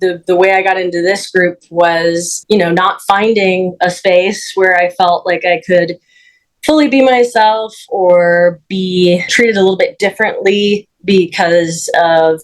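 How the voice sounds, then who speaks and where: A woman speaks fairly slowly in a normal speaking voice. Her loudness stays very even and her intonation fairly even. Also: medium pitch for a woman. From Minnesota. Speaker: panel host, community advocate. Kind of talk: panel interview.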